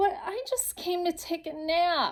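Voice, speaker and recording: A woman speaks in a put-on character voice at an extremely high pitch. The sound is squeaky. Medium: read story.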